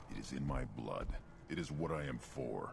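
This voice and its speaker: Over loud background noise, a man puts on a character voice with an intense tone at a moderate pace. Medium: video game. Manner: terse, intense.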